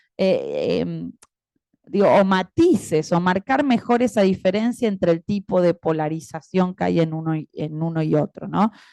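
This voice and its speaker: In a dry, close sound with no echo, a woman with an Argentine accent speaks fairly slowly in a medium pitch, with a dark, mellow tone and ordinary pitch variation. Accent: Argentine Spanish (Rioplatense). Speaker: academic panel commentator and moderator. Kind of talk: academic panel commentary.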